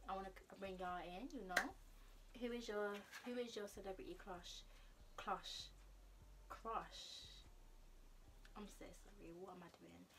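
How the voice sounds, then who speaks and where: A woman speaks at a fairly slow pace with long, frequent pauses and big swings in loudness. Noticeable background noise is present. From Nigerian heritage. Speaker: YouTuber; vlogger. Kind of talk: casual vlog chat. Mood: relaxed, playful. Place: home room. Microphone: phone near.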